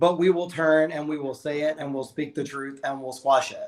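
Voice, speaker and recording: The speech moves at a moderate pace. Its intonation holds fairly even. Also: man. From Alabama. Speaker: drag queen. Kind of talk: casual chat. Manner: loud.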